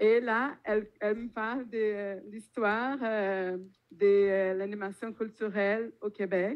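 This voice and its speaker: With a Brazilian accent, a woman speaks very slowly at a medium pitch, keeping her intonation fairly even. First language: Portuguese (speaking French). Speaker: popular education organizer. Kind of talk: panel talk. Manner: hesitant, many fillers.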